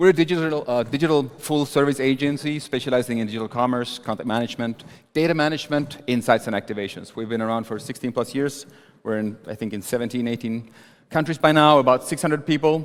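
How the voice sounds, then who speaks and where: Very fast and at medium pitch, a man speaks with a Sami accent and ordinary pitch variation. The recording is very clean, with a silent background. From northern Sweden, Sami. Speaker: agency co-founder, conference speaker. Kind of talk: conference talk.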